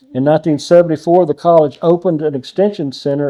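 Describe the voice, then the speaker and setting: With a Texan accent, a man speaks fairly quickly in a fairly high pitch, his tone dark and mellow and his intonation fairly even. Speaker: judge, interviewer. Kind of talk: reading historical notes aloud.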